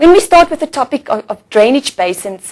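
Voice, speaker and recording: Her pitch swings very widely. She is a woman speaking in an Afrikaans South African accent. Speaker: teacher. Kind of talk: lecture. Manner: slightly halting.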